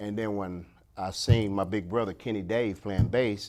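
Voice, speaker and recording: A man with a fairly low pitch talks at a moderate pace in a plain, everyday voice, his pitch varying in an ordinary way. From Ohio, Springfield. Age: 60s. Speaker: bass player. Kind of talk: interview. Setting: studio.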